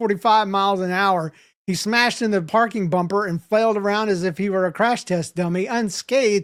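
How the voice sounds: What comes through is a natural reading voice.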